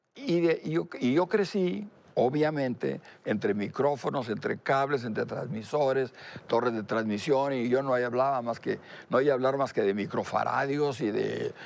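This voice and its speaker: A man speaks at a fairly slow pace in a medium pitch, with ordinary pitch variation. The background is quiet. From Mexico, Monterrey. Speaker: telecom business founder. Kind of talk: interview. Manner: halting.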